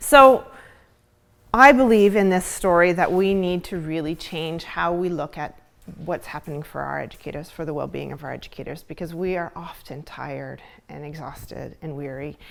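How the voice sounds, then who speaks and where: On a very clean recording with a silent background, a woman's shaky voice sits fairly low in pitch, with ordinary pitch variation and big swings in loudness. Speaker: school counselor and mindfulness presenter. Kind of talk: conference talk. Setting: stage with live audience, filmed. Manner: shaky at first, settling.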